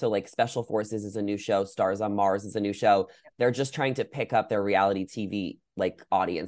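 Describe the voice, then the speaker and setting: A man's normal speaking voice with an American accent, fairly low in pitch and at a fairly quick pace, over a quiet background. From New York. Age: 20s. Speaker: content creator. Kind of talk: casual chat.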